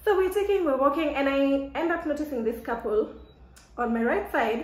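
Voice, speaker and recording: A woman speaks in a high, animated voice with lively intonation. Room echo is audible, and the background noise is noticeable. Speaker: vlogger. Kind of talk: casual chat. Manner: loud.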